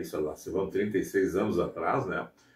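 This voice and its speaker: Somewhat breathy and dark, mellow in tone, a man talks at a fairly quick pace. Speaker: radio announcer. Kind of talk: interview. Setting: outdoors in front of a radio station. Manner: casual, conversational.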